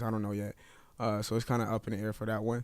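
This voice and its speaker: The recording is very clean, with a silent background. Speech moves at a fairly quick pace. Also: man. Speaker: forex trading streamer. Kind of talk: live trading stream commentary. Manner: mellow, subdued; hesitant, many fillers.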